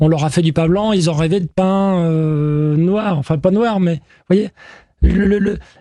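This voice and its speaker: A man's high-pitched voice with ordinary pitch variation at a fairly slow pace. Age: 50s. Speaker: baker. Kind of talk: interview. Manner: halting, with many fillers.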